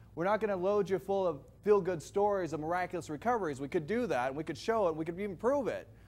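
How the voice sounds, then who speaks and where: The recording is very clean, with a silent background. A man talks in an animated tone. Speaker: company representative presenting a health product. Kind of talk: sales presentation to live audience. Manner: animated, questioning the audience.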